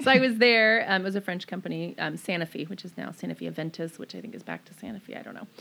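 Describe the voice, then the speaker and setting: Speaking at a very fast pace with hardly any pauses, a woman with an American accent shows big swings in loudness. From Maryland, US. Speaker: small business owner. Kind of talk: casual interview.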